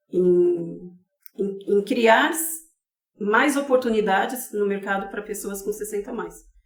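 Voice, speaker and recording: With an unremarkable speaking voice, a woman talks at a fairly slow pace at a medium pitch with ordinary pitch variation. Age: 50s. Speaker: advocate for elderly caregivers. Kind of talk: podcast interview.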